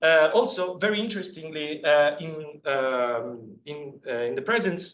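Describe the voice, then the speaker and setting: A man with an Italian accent speaks in a fairly high pitch at a fairly slow pace. His intonation is lively, and the room echo is audible. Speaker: PhD student giving a seminar talk. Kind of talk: scientific seminar lecture. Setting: seminar room with audience. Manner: halting, many fillers.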